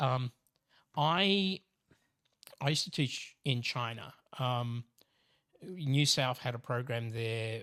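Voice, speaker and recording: An Australian accent with a bright, sharp tone. The recording is very clean, with a silent background. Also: man. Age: 60s. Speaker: professor. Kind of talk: casual chat. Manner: halting.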